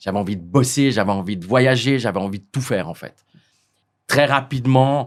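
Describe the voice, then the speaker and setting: A man of medium pitch speaks at a moderate pace with ordinary pitch variation, big swings in loudness, and long, frequent pauses. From French-speaking Switzerland, Lausanne. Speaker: hotel owner. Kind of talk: interview. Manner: halting, many repetitions.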